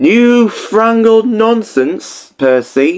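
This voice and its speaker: A man's put-on character voice, high in pitch. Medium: read story. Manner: sniffy, stubborn.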